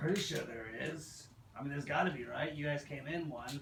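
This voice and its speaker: Clear background noise sits behind a raspy, put-on character voice moving at a fairly quick pace. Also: man, fairly high pitch for a man. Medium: actual play. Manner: blunt, offhand.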